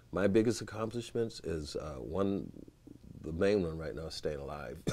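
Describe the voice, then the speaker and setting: The tone is dark and mellow, with vocal fry, lively intonation and a moderate pace. Loudness swings a lot, and the room echo is audible. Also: man, very deep, low pitch for a man. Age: 60s. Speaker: saxophonist. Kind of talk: casual interview chat.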